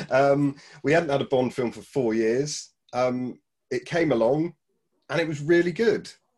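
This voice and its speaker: A man with a British accent, fairly high in pitch, with ordinary pitch variation, a fairly slow pace and long, frequent pauses. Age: 40s. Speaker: film fan podcast guest. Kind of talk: casual chat. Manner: halting.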